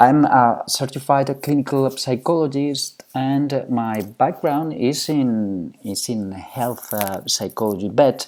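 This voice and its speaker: A man with a Spanish accent speaks at a fairly slow pace with lively intonation, on a very clean recording with a silent background. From Spain. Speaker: psychology professor. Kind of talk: lecture. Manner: halting.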